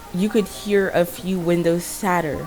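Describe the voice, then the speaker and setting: Over music in the background, a woman speaks in a monotone, flat way at a medium pitch. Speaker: fan fiction storyteller. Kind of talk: improvised story narration. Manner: halting, self-correcting.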